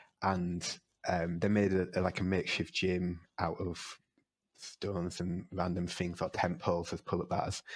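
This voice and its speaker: A man with a Yorkshire accent speaks at a very deep, low pitch in a monotone, flat way at a fairly slow pace, on a very clean recording with a silent background. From northern England, York. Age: 30s. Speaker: wrestler and lecturer. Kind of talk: podcast interview. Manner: hesitant, many fillers.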